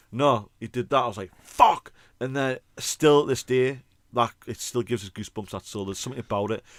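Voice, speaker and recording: A man with a British accent talks at a fairly quick pace, his tone animated and his pitch varying in an ordinary way. His loudness swings widely, and the very clean recording is dry and close, with a silent background and no echo. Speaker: podcast co-host, band singer. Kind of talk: casual chat.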